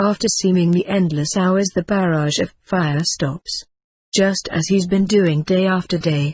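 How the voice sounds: The background stays quiet while a natural reading voice goes on.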